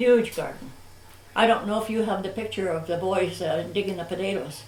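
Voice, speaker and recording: A woman with a Canadian accent talks at a fairly quick pace and medium pitch with ordinary pitch variation, amid audible room echo and noticeable background noise. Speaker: local elder recalling history. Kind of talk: oral history interview.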